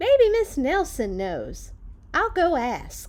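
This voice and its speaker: Putting on a squeaky character voice, a woman speaks very slowly at an extremely high pitch with very wide pitch swings. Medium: read story.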